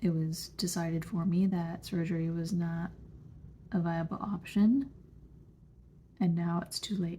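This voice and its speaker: The voice is somewhat breathy with a dark, mellow tone and fairly even intonation. It moves at a fairly slow pace with long, frequent pauses. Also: woman, fairly low pitch for a woman. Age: 30s. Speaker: vlogger with chronic illness. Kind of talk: personal testimony vlog.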